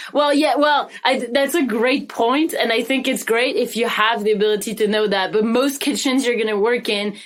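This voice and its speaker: A high-pitched woman with a French accent, very even loudness, ordinary pitch variation and hardly any pauses, against noticeable background noise. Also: moderate pace. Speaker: podcast co-host. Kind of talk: casual chat.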